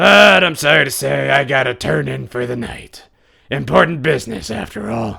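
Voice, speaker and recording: At a moderate pace, a man uses a raspy put-on character voice of medium pitch with very wide pitch swings. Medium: read story. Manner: smug, showy.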